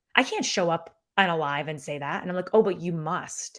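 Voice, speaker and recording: Speaking at a moderate pace with a Syracuse accent, a woman with a fairly low pitch uses an animated tone and lively intonation. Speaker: business coach and former actor. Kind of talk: podcast interview. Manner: casual, animated.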